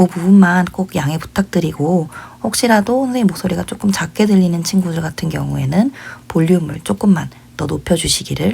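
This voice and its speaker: Moderate pace against noticeable background noise. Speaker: English teacher. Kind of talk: lecture. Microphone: voice may sound quiet.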